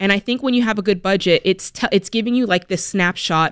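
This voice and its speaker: A woman with an American accent and medium pitch, with ordinary pitch variation, at a very fast pace, in a dry, close sound with no echo. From US Pacific Northwest. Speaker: radio show host. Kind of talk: call-in advice show. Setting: studio. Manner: animated.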